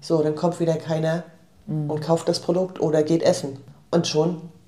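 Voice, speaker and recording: Her pitch fairly low, a woman speaks at a moderate pace in a flat monotone. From northeastern Germany, Rostock. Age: 50s. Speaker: shop owner. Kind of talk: casual interview. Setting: indoor office.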